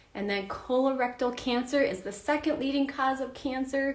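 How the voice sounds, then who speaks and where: Audible room echo surrounds a woman talking in an animated tone at a moderate pace. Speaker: health coach teaching a class. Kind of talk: live online class.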